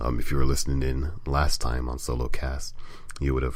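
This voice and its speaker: Noticeable background noise is present. A man talks at a fairly quick pace with fairly even intonation. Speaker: gaming site editor and podcast host. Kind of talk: casual solo podcast talk.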